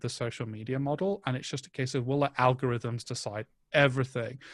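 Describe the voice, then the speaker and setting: With a northern English accent, a man speaks at a moderate pace and medium pitch against a quiet background. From northern England. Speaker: events agency content head. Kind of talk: interview. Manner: halting.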